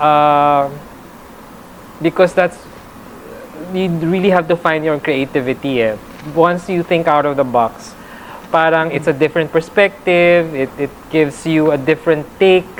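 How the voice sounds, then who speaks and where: Speaking at a fairly slow pace with long, frequent pauses, a woman with a very deep, low pitch and ordinary pitch variation is heard over noticeable background noise. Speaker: reporter and stand-up comedian. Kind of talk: interview. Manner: halting.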